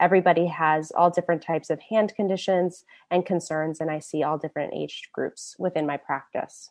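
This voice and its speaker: A woman with an American accent talks at a fairly quick pace with hardly any pauses. Her fairly low voice has fairly even intonation over a quiet background. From US Midwest, Indianapolis. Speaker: hand surgeon. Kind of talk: public lecture.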